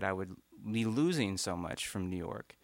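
A man with a fairly low voice speaks at a moderate pace on a very clean recording with a silent background. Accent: Appalachian. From eastern Kentucky, Morgan County. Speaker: musician and doctor. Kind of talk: interview on live radio show. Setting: radio performance studio with audience.

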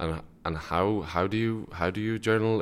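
A man in a northwest Irish accent, with vocal fry and ordinary pitch variation. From Ireland, Sligo. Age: 20s. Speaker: university student. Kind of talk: radio interview. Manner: halting, many fillers and repetitions.

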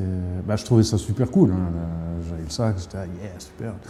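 Very deep and low in pitch, a man speaks at a moderate pace with a slight Lorraine accent. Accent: slight northern Lorraine. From northern Lorraine, France (Thionville). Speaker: jazz saxophonist. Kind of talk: casual interview. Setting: smoking room of a Brussels jazz bar.

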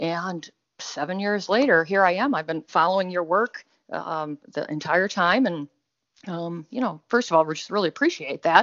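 Here is a woman with an unremarkable speaking voice, fairly low in pitch. She talks at a moderate pace with ordinary pitch variation. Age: 40s. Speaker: audience member seeking health advice. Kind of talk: one-on-one consultation call. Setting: call.

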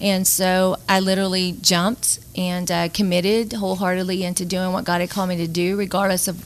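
A woman talks at a fairly quick pace with a Louisiana accent. Her medium-pitched voice has monotone, flat intonation. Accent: Southern US (Louisiana). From northern Louisiana (Bossier City). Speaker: nonprofit executive director. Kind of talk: radio interview.

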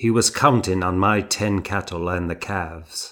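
Putting on a character voice, a man growls at a very deep, low pitch and a moderate pace in a very clean recording with a silent background. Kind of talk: literary audiobook narration. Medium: read story.

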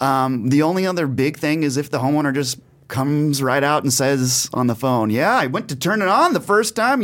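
A man talks at a moderate pace with a fairly high pitch and hardly any pauses. He has an ordinary speaking voice, on a very clean recording with a silent background. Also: very even loudness. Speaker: home warranty industry representative. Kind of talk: casual interview.

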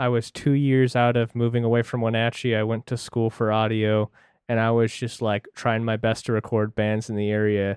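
This man talks at a moderate pace with an American accent, a medium pitch, flat monotone intonation and very even loudness. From central Washington. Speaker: podcast co-host, audio engineer. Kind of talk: casual chat.

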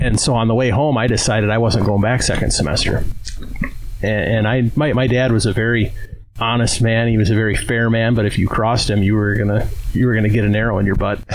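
A man talks at a very fast pace with very even loudness. Noticeable background noise is present. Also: medium pitch for a man, fairly even intonation. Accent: Upper Midwest US. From Wisconsin. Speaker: archery equipment business owner. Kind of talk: casual interview. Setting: outdoors at archery club.

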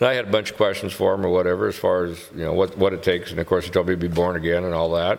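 This man talks very fast with hardly any pauses, his very deep, low voice holding a fairly even intonation. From Whiting (hometown). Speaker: podcast guest sharing faith story. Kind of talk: casual interview, personal testimony.

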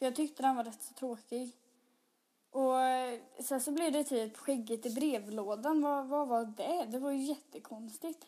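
A woman speaks in a high pitch. Her tone is dark and mellow. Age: 20s. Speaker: podcaster. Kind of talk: casual solo monologue.

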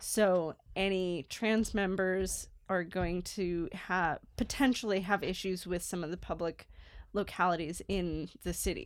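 Recorded very cleanly against a silent background, a woman with a plain, everyday voice speaks at a fairly slow pace, her medium-pitched delivery fairly even in intonation. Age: 30s. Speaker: archaeology podcast co-host. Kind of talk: casual chat.

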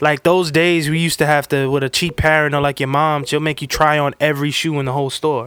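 A man with a New York accent talks very fast, with hardly any pauses. His fairly high voice stays monotone and flat. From New York City, the Bronx. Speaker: sneaker reseller. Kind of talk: casual chat.

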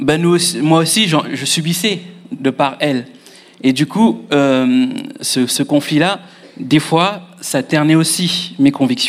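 This man talks at a very slow pace with ordinary pitch variation. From Mauritius. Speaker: future pastor. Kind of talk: testimony.

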